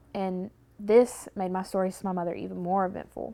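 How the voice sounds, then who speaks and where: In a Southern US accent, a woman speaks at a fairly quick pace. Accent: Southern rural speech, criticized by teacher. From US South, rural Tennessee. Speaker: university student. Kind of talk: personal documentary narrative.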